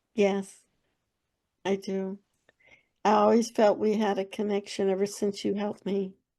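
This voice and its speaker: Over a quiet background, a woman with an American accent talks at a fairly slow pace and medium pitch, with monotone, flat intonation and a dark, mellow tone. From Texas. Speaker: author. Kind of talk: casual chat.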